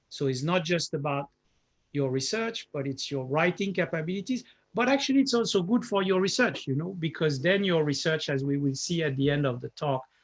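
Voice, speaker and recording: A man with a French accent, fairly high in pitch, speaking at a fairly quick pace with lively intonation. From France. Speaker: professor. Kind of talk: lecture. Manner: halting, with frequent fillers.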